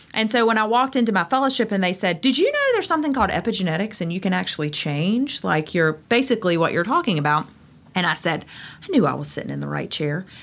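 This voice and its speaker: Swinging very widely in pitch, a woman talks at a very fast pace. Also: medium pitch for a woman. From Eastern North Carolina, Greenville. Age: 40s. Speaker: physician. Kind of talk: casual interview. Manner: animated.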